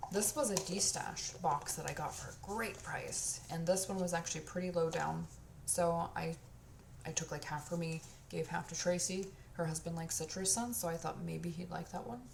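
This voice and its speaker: With audible room echo, a woman talks at a moderate pace. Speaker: candle and body care reviewer. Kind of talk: casual product review monologue. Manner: casual, lots of filler words.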